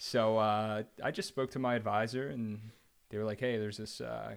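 Talking at a fairly quick pace, a man uses a fairly low pitch with an American accent. The recording is very clean, with a silent background. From New Jersey, Central Jersey. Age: 30s. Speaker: energy company executive. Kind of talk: casual chat.

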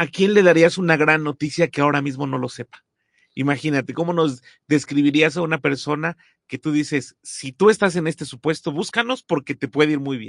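A normal speaking voice goes at a fairly quick pace with ordinary pitch variation, a dry, close sound with no echo and a quiet background. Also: man, fairly high pitch for a man. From Mexico. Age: 40s. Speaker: podcast host. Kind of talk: interview.

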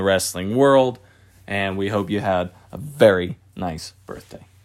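In a very clean recording with a silent background, a man talks at a moderate pace in an animated tone. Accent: American. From Philadelphia, Pennsylvania. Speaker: wrestling podcast co-host. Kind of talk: casual chat.

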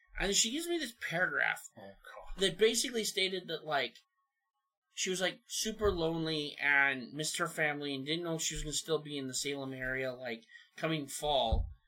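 With a bright, sharp tone and fairly high pitch, a man talks at a moderate pace with lively intonation. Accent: American. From southern Oregon. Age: 30s. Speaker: truck driver. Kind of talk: casual chat.

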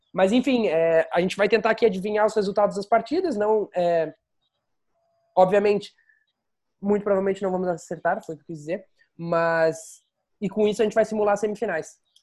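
On a very clean recording with a silent background, a man talks at a fairly quick pace with fairly even intonation and long, frequent pauses. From Rio Grande do Sul, Pelotas. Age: 20s. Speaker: podcast host. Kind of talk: casual chat. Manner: halting.

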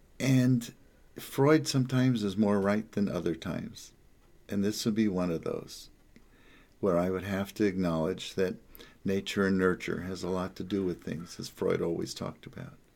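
In a very clean recording with a silent background, a man speaks in a normal speaking voice with an American accent. His pitch is fairly low with ordinary variation, and his pace is moderate. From New Jersey, Jersey Shore. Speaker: psychotherapist. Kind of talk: casual monologue. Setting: home office.

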